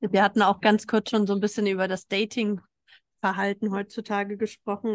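The woman's voice sits at a medium pitch. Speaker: podcast host. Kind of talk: casual chat. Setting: live recording in a restaurant in Berlin. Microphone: not studio sound quality.

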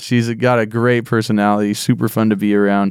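A plain, everyday voice from a man, fairly low in pitch, moderate in pace and fairly even in intonation, on a very clean recording with a silent background. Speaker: pastor. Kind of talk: casual chat.

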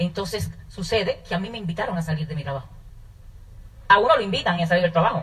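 A woman with vocal fry talks at a very fast pace and a fairly low pitch. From Dominican Republic, north (Manzanillo). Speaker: network marketing business owner. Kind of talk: testimony.

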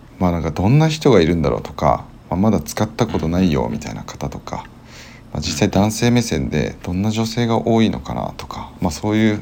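A man's very deep, dark and mellow voice with vocal fry, very wide pitch swings and a fairly quick pace. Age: 20s. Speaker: podcast co-host, office worker. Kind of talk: casual chat.

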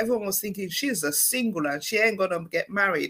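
Through noticeable background noise, a medium-pitched woman talks at a fairly quick pace with very wide pitch swings. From Sierra Leone. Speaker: divorced single mother sharing her story. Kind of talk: interview testimony.

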